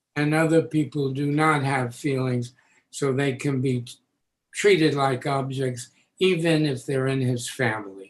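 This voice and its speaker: Speaking at a fairly slow pace, a man with an American accent has a fairly high pitch. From New York City, the Bronx. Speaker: educator and author. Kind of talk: interview.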